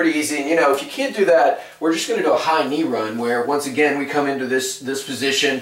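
Speaking very quickly, a man's voice carries audible room echo. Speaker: fitness trainer. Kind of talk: tutorial. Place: kitchen. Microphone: camera far.

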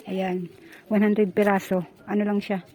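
A woman with a medium pitch and a dark, mellow tone talks at a moderate pace in a monotone, flat intonation. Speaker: vlogger. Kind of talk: casual vlog narration. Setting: outdoors.

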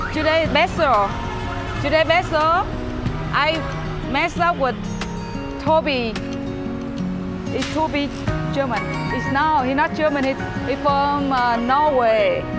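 Over clear background music, the speaker goes at a fairly slow pace with long, frequent pauses. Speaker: live streamer. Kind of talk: casual vlog chat. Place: street.

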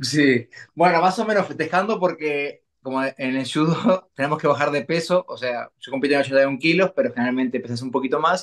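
Speaking at a moderate pace, a man leaves hardly any pauses. His pitch variation is ordinary, and the background is quiet. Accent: Uruguayan. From Uruguay. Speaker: olympic judoka; guest. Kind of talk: interview. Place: home room. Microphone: video call.

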